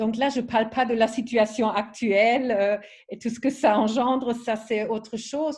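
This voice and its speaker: A woman with a non-native accent speaks at a very slow pace, her fairly high voice held to fairly even intonation. The background is quiet. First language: not French (speaking French). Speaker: wellness product trainer. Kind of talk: online training presentation. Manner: halting, many fillers.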